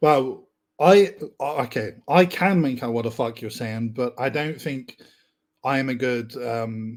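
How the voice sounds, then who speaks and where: In an English accent, a man talks at a fairly slow pace with a medium pitch and ordinary pitch variation. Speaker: podcast guest, online writer. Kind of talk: casual chat. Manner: animated, casual with swearing.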